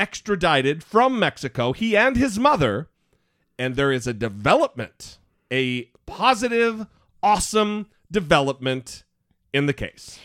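A man with a fairly high pitch speaks at a fairly slow pace with very wide pitch swings and long, frequent pauses. The sound is dry and close with no echo, on a very clean recording with a silent background. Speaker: podcast host. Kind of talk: casual chat. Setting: studio. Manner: sounds like a morning DJ.

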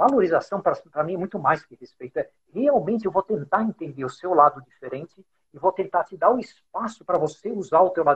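The man's voice is high-pitched with lively intonation. He speaks at a very fast pace. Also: big swings in loudness. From Brazil, São Paulo. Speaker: podcast host, business executive. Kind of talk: casual interview chat. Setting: Instagram live, video call.

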